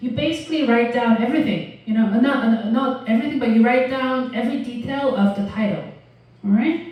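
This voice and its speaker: In a non-native accent, a woman speaks at a high pitch amid audible room echo. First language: not English. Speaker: university lecturer. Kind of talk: lecture. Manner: halting, many fillers.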